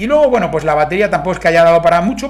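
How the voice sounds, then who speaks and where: A man talks at a very fast pace in a high pitch. There is noticeable background noise. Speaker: car reviewer. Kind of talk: video review.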